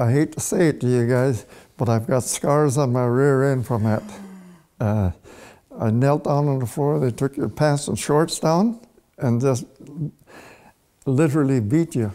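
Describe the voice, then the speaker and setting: Dark and mellow in tone, this voice moves at a fairly slow pace with very even loudness and long, frequent pauses. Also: man, medium pitch for a man, ordinary pitch variation. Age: 70s. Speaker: residential school survivor. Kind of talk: testimony.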